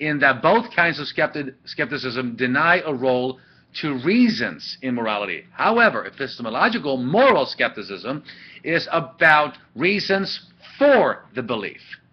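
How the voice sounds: A man speaks at a moderate pace and medium pitch, with a slightly husky edge. His pitch swings widely, with few pauses.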